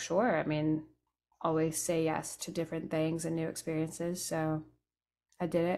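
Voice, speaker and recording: Quiet surroundings and a woman with an American accent. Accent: sounds American. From raised between England, France and Italy. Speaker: Americana musician, banjo and guitar player; guest. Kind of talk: interview, casual chat. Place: home room. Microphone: studio mic.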